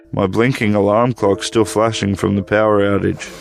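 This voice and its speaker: Music plays in the background as a man speaks with monotone, flat intonation. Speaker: storyteller. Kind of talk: horror story narration.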